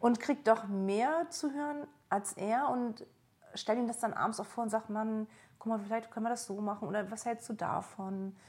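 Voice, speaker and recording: At a moderate pace, a woman talks in a fairly high, somewhat breathy voice with ordinary pitch variation. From East Germany. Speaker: trainee coach. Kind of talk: coaching session. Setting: at home on a sofa in Berlin.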